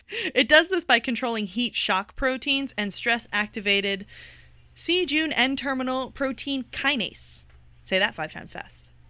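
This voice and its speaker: In an American accent, a woman speaks fairly slowly in a high, bright, sharp voice that is raised and projected. The recording is very clean, with a silent background. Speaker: podcast co-host. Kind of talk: casual chat.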